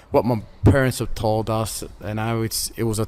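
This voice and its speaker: With an Australian accent, a man speaks at a moderate pace and a fairly low pitch over noticeable background noise. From Melbourne, Australia. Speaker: former prisoner and boxer. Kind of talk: interview. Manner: halting.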